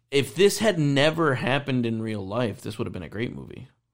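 In a very clean recording with a silent background, a man with an American accent talks at a very fast pace at a medium pitch, with very wide pitch swings and vocal fry. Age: 30s. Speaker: movie podcast host. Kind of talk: casual chat.

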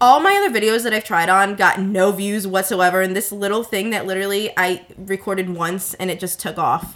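Using an ordinary speaking voice, a woman talks at a fairly quick pace with hardly any pauses. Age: 20s. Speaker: social media influencer. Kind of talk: casual chat.

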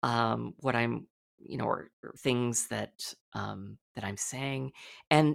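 A woman speaks at a very slow pace in a very deep, low pitch with vocal fry. The recording is very clean, with a silent background. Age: 40s. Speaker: therapist and sex educator. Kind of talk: interview.

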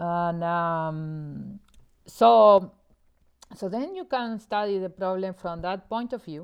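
A very slow delivery with ordinary pitch variation, in a Spanish accent. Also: woman, medium pitch for a woman. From Argentina, Buenos Aires. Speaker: mathematics professor. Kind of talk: interview explaining mathematics. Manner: hesitant, many fillers.

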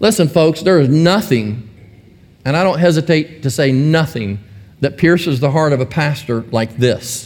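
At a fairly slow pace, a man speaks in an ordinary speaking voice, his intonation lively. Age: 60s. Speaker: pastor. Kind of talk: sermon.

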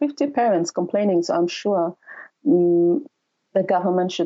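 A woman with a Ni-Vanuatu accent. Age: young. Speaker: community development manager. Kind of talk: interview. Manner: halting.

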